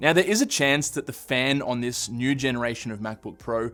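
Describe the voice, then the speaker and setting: Music can be heard behind the speaker. He is a man talking fairly quickly. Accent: Australian. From Australia. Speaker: tech youtuber. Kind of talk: tech review talk to camera. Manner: casual, conversational.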